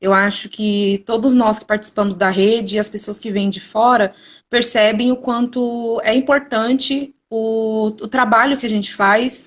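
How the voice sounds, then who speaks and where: The voice is somewhat breathy, with fairly even intonation. It moves at a fairly slow pace with hardly any pauses. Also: woman, fairly high pitch for a woman. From Brazil, São Paulo state. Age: 20s. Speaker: museology student. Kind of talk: live stream presentation. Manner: hesitant, repeats words.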